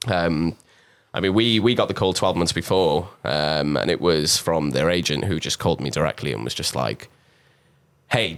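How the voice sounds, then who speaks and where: A man with a South Wales Valleys accent speaks at a moderate pace in a very deep, low pitch with vocal fry and lively intonation, in a very clean recording with a silent background. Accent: Welsh (South Wales valleys). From South Wales, Pontypridd. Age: 20s. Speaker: drummer. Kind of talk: interview.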